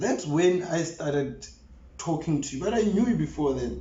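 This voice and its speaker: A man is heard with audible room echo and noticeable background noise around him. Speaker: church drummer. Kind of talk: casual chat.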